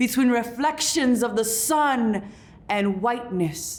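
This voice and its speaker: The woman's voice sits high in pitch. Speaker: poet and author. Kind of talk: spoken word poetry performance.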